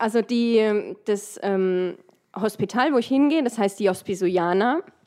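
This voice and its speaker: A woman's dark, mellow tone at a very slow pace with ordinary pitch variation. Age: 30s. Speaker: dental technician. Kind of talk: casual chat.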